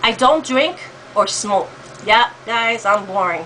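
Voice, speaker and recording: Ordinary pitch variation from a female speaker, with noticeable noise in the background. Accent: American. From New York. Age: 50s. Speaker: vlogger. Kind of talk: casual talk to camera. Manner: hesitant, many fillers.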